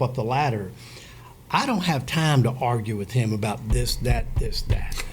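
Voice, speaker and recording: A man at a medium pitch and a moderate pace, with audible room echo. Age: 60s. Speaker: business owner. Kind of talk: casual chat.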